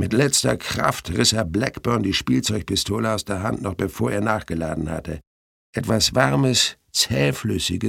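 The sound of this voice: An unforced reading voice with lively intonation and a quiet background.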